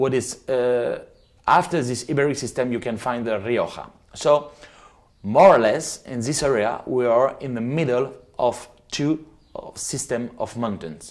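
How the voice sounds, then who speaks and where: A man with a French accent, medium in pitch, at a fairly slow pace. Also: ordinary pitch variation. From France, Loire Valley. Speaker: winemaker. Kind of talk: presentation. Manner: halting. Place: home room. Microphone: lapel.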